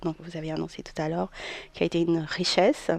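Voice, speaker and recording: A woman is speaking. She has a slight Portuguese accent. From Portugal. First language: Portuguese (speaking French). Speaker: therapist. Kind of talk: radio interview.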